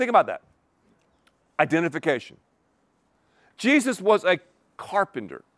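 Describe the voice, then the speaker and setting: On a very clean, dry, close recording with a silent background and no echo, a man with an American accent speaks with very wide pitch swings. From Western North Carolina. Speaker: pastor. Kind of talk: sermon. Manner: animated.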